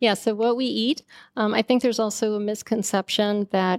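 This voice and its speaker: Heard in a dry, close sound with no echo on a very clean recording with a silent background, a woman with a plain, everyday voice speaks at a medium pitch and moderate pace. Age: 50s. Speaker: scientist and skincare company founder. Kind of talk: interview.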